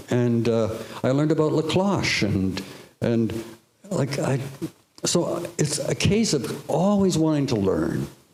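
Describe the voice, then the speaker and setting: A man with a Canadian accent talks at a fairly slow pace, with very wide pitch swings and long, frequent pauses. Audible room echo is present. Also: fairly high pitch for a man, very even loudness. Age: 70s. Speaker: artist panelist. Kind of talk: panel discussion. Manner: halting.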